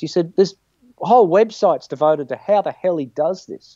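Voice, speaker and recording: A high-pitched male voice in an Australian accent, fairly quick, with ordinary pitch variation. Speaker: guitarist. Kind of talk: casual chat. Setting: video call from home studio.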